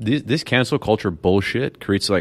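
A man's plain, everyday voice, fairly low in pitch, with ordinary pitch variation. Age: 30s. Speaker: podcast co-host. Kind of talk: casual discussion.

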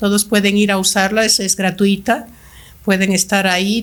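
Moderately paced speech from a woman, pitched in the middle range. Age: 60s. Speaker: language school director. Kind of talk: podcast interview.

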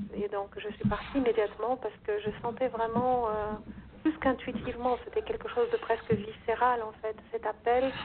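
At a moderate pace, a woman with a plain, everyday voice talks at a fairly high pitch with fairly even intonation. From Brazil. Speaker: yoga teacher. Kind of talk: interview.

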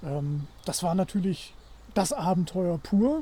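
A man's dark, mellow voice, high in pitch, with ordinary pitch variation. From northern Germany, Wilhelmshaven. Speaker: supporter of the channel. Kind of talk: casual chat. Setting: outdoors in a forest.

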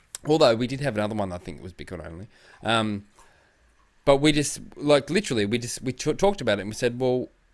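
A very fast pace in an Australian accent, with lively intonation and big swings in loudness. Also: man, medium pitch for a man. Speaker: podcast co-host. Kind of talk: casual chat.

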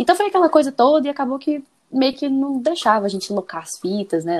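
A woman speaks with very wide pitch swings. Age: 30s. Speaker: guest fan. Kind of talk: casual chat. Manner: animated.

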